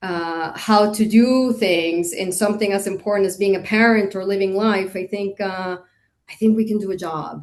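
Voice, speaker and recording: A woman's normal speaking voice at medium pitch, with fairly even intonation and a moderate pace. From Costa Rica, moved to Indiana at 13. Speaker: hotel industry executive. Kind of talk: interview.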